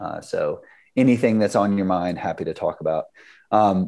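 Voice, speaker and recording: A man speaks at a moderate pace with a slight Southern US accent. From US South Carolina. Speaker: startup founder, product manager. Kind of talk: technical talk with slides. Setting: video call.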